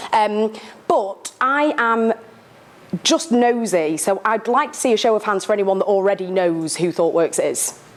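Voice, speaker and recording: A woman's fairly slow, lively-intoned speech over noticeable background noise. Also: fairly high pitch for a woman. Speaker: sponsor company representative. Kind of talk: sponsor talk to live audience. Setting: meetup room with audience. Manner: loud.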